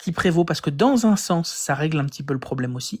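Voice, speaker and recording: The recording is very clean, with a silent background. The voice has a French accent. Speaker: atheist live streamer debunking religion. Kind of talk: live stream science commentary. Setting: live stream with guests. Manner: halting, many fillers.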